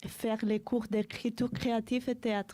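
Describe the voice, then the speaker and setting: A woman with a Spanish accent, fairly high in pitch with a dark, mellow tone, monotone and flat, at a very slow pace in a very clean recording with a silent background. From Spain, Madrid. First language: Spanish (speaking French). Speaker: French language learner. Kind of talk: reading aloud.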